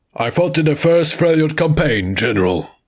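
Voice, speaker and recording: A man does a put-on character voice with very wide pitch swings. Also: fairly high pitch for a man, moderate pace. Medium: read story.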